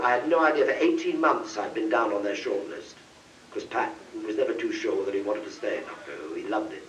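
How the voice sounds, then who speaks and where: Through noticeable background noise, a man with an English accent speaks at a very fast pace. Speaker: actor. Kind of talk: anecdote told on convention panel. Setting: convention panel, live audience.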